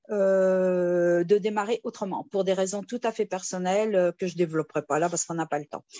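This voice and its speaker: Speaking at a fairly quick pace, a woman leaves hardly any pauses. Her medium-pitched voice keeps a fairly even intonation. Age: 60s. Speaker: retired nurse, investment scheme member. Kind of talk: testimony. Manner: halting, many hesitations.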